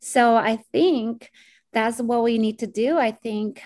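On a very clean recording with a silent background, a woman speaks in a Spanish accent at a fairly high pitch. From Colombia, Bogota. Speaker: community organizer. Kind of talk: podcast interview.

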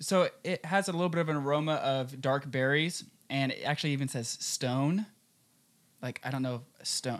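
This is an ordinary speaking voice with an American accent. The pitch moves in an ordinary way. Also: man, fairly high pitch for a man, moderate pace. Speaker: radio host.

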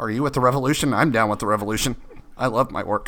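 A man puts on a robotic character voice at a medium pitch. He speaks at a very fast pace. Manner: robotic, mocking.

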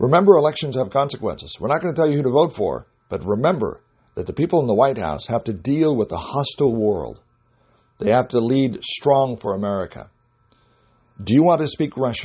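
A man's medium-pitched voice with vocal fry, lively intonation and a fairly quick pace. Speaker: radio commentator. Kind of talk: urgent political commentary. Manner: emphatic, fervent.

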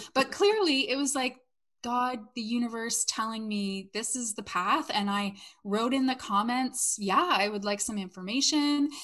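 A woman's normal speaking voice with a Canadian accent, fairly high in pitch, with ordinary pitch variation at a moderate pace. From Canada. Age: 40s. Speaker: network marketer and former salon owner. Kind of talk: casual interview chat.

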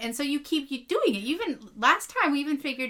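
Raised and projected, a woman's high-pitched voice carries over noticeable background noise. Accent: American. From western Pennsylvania, between Erie and Pittsburgh. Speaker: podcast co-host. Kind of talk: casual chat.

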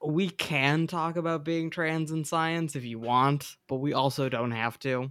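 A man with an ordinary speaking voice, fairly high pitch, fairly slow pace and fairly even intonation, on a very clean recording with a silent background. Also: hardly any pauses. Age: 20s. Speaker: podcast host, entomologist. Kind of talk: casual interview.

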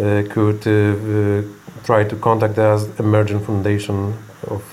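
A man's fairly low voice at a fairly slow pace, with noticeable background noise and audible room echo. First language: Polish. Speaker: medical center executive. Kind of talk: interview. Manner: halting.

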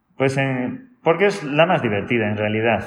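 A man at a moderate pace, with audible room echo. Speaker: salsa teacher. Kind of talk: interview. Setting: dance academy.

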